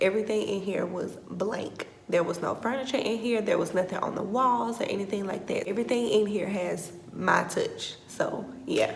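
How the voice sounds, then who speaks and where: A woman whispers quietly in a room with audible echo and noticeable background noise. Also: moderate pace. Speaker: teacher and vlogger. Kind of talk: casual vlog tour. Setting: empty classroom. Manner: whispering, quiet.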